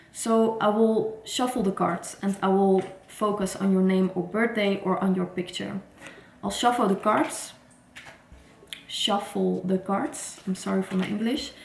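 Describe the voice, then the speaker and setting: Female speech, medium in pitch and fairly slow, its intonation fairly even, against noticeable background noise. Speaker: tarot reader. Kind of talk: casual vlog talk. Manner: halting, some false starts.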